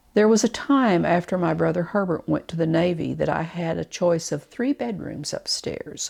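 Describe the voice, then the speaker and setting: In a very clean recording with a silent background, a woman talks with an Arkansas accent. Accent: Southern US (Arkansas). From Arkansas, near Farmington. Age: 70s. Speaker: oral history narrator. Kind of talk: reading aloud. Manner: measured.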